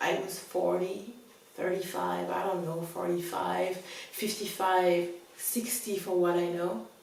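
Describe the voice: Strong room echo surrounds a woman at medium pitch with vocal fry. She speaks at a slow pace.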